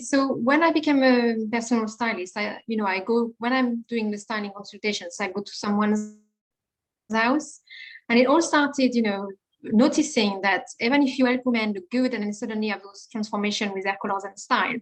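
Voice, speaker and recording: A woman with a French accent speaks at a fairly quick pace, her fairly high pitch showing ordinary variation and her loudness shifting a lot. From France. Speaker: confidence coach and personal stylist. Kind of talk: podcast interview.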